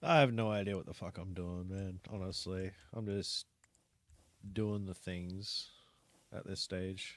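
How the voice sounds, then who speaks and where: Mumbling at a fairly slow pace, a man speaks with a very deep, low pitch. His intonation is fairly even, broken by long, frequent pauses. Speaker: gaming streamer. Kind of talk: live gaming stream commentary.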